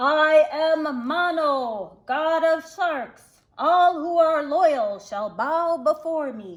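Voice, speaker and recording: Using a put-on character voice, a woman projects at a high pitch in a raised voice and a very slow pace. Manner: commanding, boastful.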